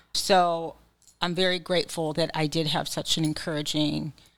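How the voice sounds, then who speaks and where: Background silent, recording very clean. Delivered in an ordinary speaking voice, the words come at a moderate pace with fairly even intonation. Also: woman. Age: 40s. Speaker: psychiatric nurse practitioner. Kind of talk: casual chat.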